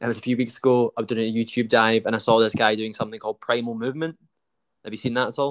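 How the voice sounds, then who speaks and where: A man with a Scottish accent at a very fast pace, medium pitch, monotone and flat intonation, in a dry, close sound with no echo. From Scotland. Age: 30s. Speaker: podcast host. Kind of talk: casual interview.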